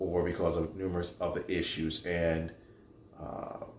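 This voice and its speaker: Speaking in a New York accent, a man with a very deep, low pitch talks at a moderate pace in a somewhat breathy voice, with audible room echo. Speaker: faith show host and motivational speaker. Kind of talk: inspirational monologue.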